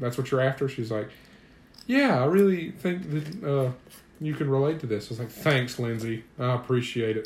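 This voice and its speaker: Somewhat breathy, a man's voice of medium pitch moves at a moderate pace with ordinary pitch variation. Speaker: podcast co-host. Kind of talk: casual chat.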